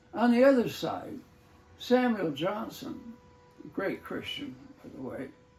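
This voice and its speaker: A man's voice against noticeable background noise. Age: 80s+. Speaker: retired English professor. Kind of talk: casual talk show. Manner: halting, hesitant.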